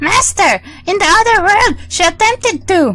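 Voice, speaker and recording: Squeaky and extremely high-pitched, a woman performs a put-on character voice. Light background noise can be heard. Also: moderate pace. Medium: game stream. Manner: shrill and spiteful.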